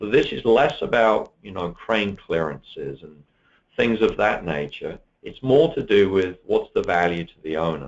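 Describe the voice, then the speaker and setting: This man speaks with a British accent at a moderate pace. His loudness swings widely. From UK. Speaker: software presenter. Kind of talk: webinar product demo. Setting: online webinar.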